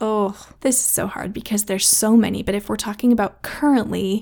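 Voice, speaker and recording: Fairly high in pitch, a woman uses a normal speaking voice with fairly even intonation. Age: 30s. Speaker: podcast host, mother and former teacher. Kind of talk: solo casual podcast talk. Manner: warm, chatty with frequent laughs.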